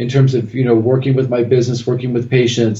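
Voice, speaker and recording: Somewhat breathy, a man speaks with a West Coast American accent. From California. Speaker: acupuncturist and teacher. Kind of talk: interview.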